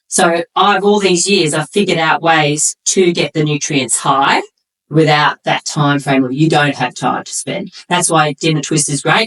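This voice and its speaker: Barely pausing, a woman speaks at a moderate pace in a very deep, low pitch with ordinary pitch variation, the sound dry and close with no echo. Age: 50s. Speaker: nutrition coach and former bodybuilder. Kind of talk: casual interview chat.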